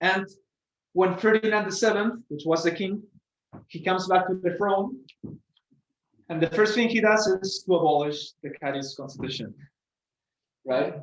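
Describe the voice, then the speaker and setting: Speech with a Spanish accent at a moderate pace, ordinary pitch variation, and long, frequent pauses. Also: man, high pitch for a man. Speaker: student presenter. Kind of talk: lecture. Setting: presentation to an audience. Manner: halting, with many fillers and repetitions.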